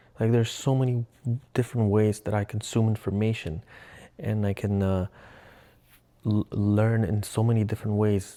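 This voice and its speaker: In a very clean recording with a silent background, a man with a Russian accent speaks at a moderate pace, his fairly low voice dark and mellow. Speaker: vlogger. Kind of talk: casual vlog monologue. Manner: halting, self-correcting.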